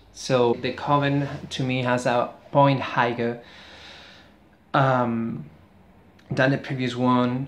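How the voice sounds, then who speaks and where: This speaker talks at a very slow pace with a Spanish accent, leaving long, frequent pauses. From Spain. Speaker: book reviewer, YouTuber. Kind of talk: book review vlog. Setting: near a street, outdoors-ish. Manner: halting.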